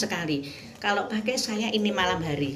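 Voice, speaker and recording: With music in the background and audible room echo, a woman talks at a moderate pace with lively intonation. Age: 60s. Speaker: product customer giving testimonial, retired kindergarten teacher. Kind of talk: testimony.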